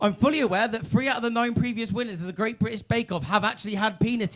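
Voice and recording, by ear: A natural voice reading text aloud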